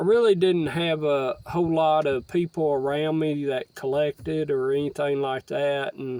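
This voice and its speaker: Speaking with a Southern US accent at a fairly high pitch, a man holds a moderate pace with hardly any pauses and fairly even intonation. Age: 60s. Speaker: stamp collector vlogger. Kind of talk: casual monologue. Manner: halting, many fillers.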